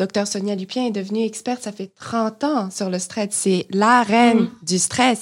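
A woman with fairly high pitch talks at a fairly slow pace in a very clean recording with a silent background. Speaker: podcast co-host, graduate student. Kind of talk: casual interview.

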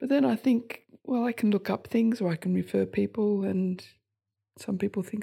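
A woman with an Australian accent at a moderate pace, in a very clean recording with a silent background. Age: 70s. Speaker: GP. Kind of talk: group lunch conversation.

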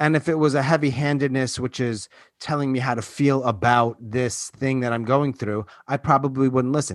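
Speaking at a fairly quick pace, a man uses a normal speaking voice at a medium pitch. The recording is very clean and dry, close with no echo, over a silent background. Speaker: podcast host. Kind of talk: podcast hosting and discussion.

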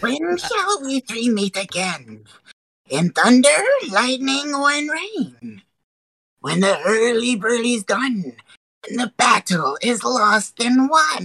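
The speaker uses a put-on character voice pitched fairly high. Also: fairly slow pace. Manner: menacing, theatrical.

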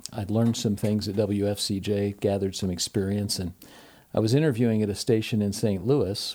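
A man speaks with a dark, mellow tone in a fairly low pitch. His pace is fairly quick and his intonation fairly even. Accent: American. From US Midwest, Ohio. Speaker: university professor and former radio host. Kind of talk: casual interview.

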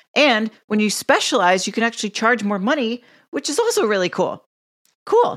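In a very clean recording with a silent background, a woman with an American accent speaks at a moderate pace, her fairly high voice carrying lively intonation. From Connecticut, US Northeast. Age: 40s. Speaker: strength coach, men's health expert. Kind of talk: interview.

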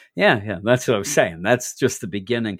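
This is a man's voice. He speaks with an East Coast American accent. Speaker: comic book podcast host. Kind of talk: casual chat.

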